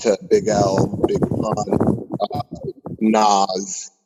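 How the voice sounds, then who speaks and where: A man with an American accent. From California. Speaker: rapper. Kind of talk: interview. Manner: halting.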